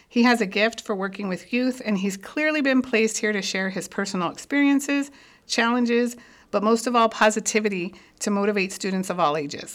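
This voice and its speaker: In a very clean recording with a silent background, a woman with an American accent speaks fairly quickly at a fairly high pitch, her pitch varying in an ordinary way. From South Tucson, Arizona. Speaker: podcast host. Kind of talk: podcast intro.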